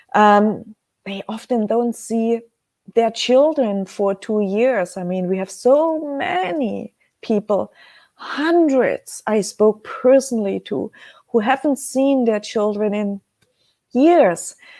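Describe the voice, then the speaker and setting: A woman with a German accent speaks very slowly in a fairly high voice with a dark, mellow tone, the sound dry and close with no echo. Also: lively intonation. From Germany. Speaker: webcast host selling precious metals. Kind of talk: live webcast talk. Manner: halting, many filler sounds.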